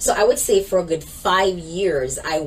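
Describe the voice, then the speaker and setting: A woman speaks with a Jamaican accent. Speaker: minister and organization leader. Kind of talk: interview testimony.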